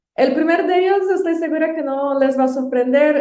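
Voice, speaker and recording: A woman with a Brazilian accent and ordinary pitch variation. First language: Portuguese (speaking Spanish). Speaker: university administrator. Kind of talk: guest book recommendations.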